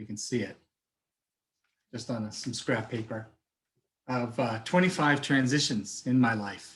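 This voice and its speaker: Speaking with an American accent, a man uses a medium pitch, ordinary pitch variation and a moderate pace. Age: 50s. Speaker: life coach. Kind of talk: webinar talk.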